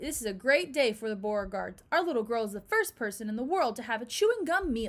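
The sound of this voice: The clip carries an unforced reading voice.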